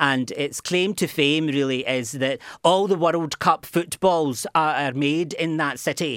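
On a very clean recording with a silent background, a man with a Glaswegian accent speaks fairly slowly with hardly any pauses and ordinary pitch variation. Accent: Glaswegian Scottish. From Scotland, Glasgow. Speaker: university lecturer. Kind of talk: radio interview. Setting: studio. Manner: halting, many repetitions.

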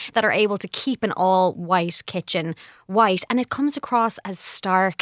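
A woman speaks at medium pitch in a normal speaking voice with ordinary pitch variation. The recording is very clean and dry, with a silent background and no echo. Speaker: journalist guest on interior trends. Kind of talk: casual chat.

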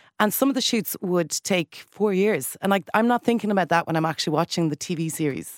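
A woman speaks at a fairly quick pace with lively intonation, very even loudness and hardly any pauses, recorded dry and close with no echo on a very clean track with a silent background. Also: medium pitch for a woman. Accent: Irish. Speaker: radio broadcaster. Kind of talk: radio panel discussion. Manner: animated.

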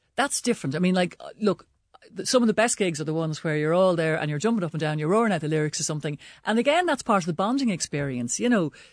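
Against a quiet background, a woman with a fairly low pitch talks at a very fast pace with lively intonation. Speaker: broadcaster and commentator. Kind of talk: casual panel chat. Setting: studio.

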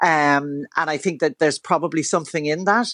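Here a woman speaks in a Dublin accent. The sound is dry and close with no echo, and the background is quiet. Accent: Dublin Irish. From Dublin, Ireland. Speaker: commentator guest. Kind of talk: radio interview chat.

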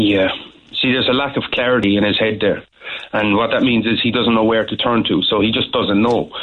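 A man with a Cork accent talks at a fairly quick pace and medium pitch. His intonation is a flat monotone and his loudness very even. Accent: Cork Irish. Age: 30s. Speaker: life coach. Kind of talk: phone-in testimony. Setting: phone call.

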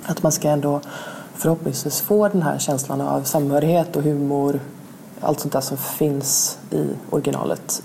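A woman talks at a fairly quick pace with a very deep, low pitch. Noticeable background noise is present. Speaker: literary translator. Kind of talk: interview.

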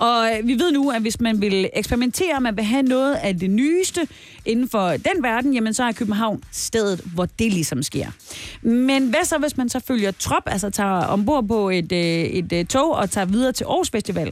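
A woman talks at a fairly slow pace with very even loudness. Her fairly high voice makes very wide pitch swings. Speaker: radio host. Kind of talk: casual chat. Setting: studio.

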